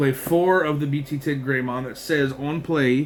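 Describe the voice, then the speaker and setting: Here is a man with a plain, everyday voice. He speaks at a medium pitch with fairly even intonation. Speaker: trading card game content creator. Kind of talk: deck profile tutorial. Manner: casual with frequent fillers.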